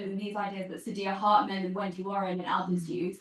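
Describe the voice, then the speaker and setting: This woman's voice sits at a medium pitch. It is somewhat breathy. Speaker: audience member at academic seminar. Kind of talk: question from the audience. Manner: soft-spoken.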